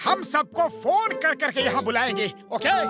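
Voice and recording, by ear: A man's cartoonish character voice at an extremely high pitch, bright and sharp in tone, with lively intonation, a moderate pace, and faint background music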